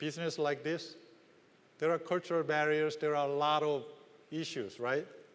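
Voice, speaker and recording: Speaking with a Korean accent, a man talks. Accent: Korean, non-native English. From South Korea. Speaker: business executive. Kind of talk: conference keynote speech.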